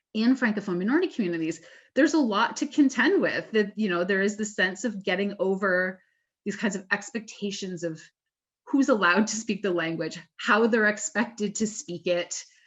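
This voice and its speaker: Somewhat breathy, a woman speaks at a moderate pace in a medium pitch with ordinary pitch variation. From Southwestern Ontario, Canada. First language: French. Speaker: academic panel moderator. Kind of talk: webinar Q&A moderation.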